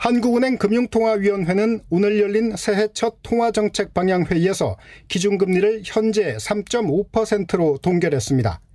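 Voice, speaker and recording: Hardly any pauses break up the speech. It unfolds at a fairly slow pace. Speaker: economics reporter. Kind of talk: news report.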